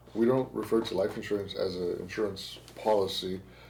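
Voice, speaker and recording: A man speaks at a moderate pace. Audible room echo hangs on his voice. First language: Spanish. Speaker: podcast host, insurance agent. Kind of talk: casual podcast interview. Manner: halting, repetitive phrasing.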